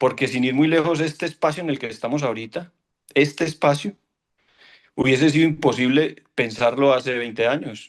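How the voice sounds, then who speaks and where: A man talks at a moderate pace in a fairly high pitch. His pitch varies in an ordinary way against a quiet background. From Colombia, Caldas. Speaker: orchestra conductor. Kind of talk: panel discussion. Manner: halting.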